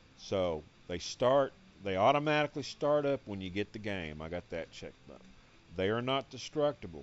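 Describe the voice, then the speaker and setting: Here a man talks. His pitch rises and falls across a very wide range. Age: 60s. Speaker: gaming youtuber. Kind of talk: game tutorial. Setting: home game room, on couch. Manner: casual, halting.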